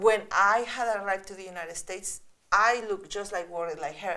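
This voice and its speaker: At a moderate pace, a woman with a Spanish accent speaks in a medium pitch with a bright, sharp tone. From Mexico. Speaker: children's author and illustrator. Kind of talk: reading aloud to children. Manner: animated, engaging.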